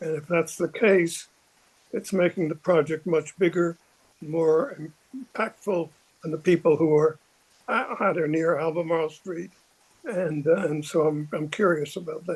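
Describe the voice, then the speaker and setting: Fairly even in intonation, a high-pitched man speaks at a moderate pace with long, frequent pauses. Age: 90s. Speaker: resident, former neighborhood commissioner. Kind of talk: public meeting comment. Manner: halting.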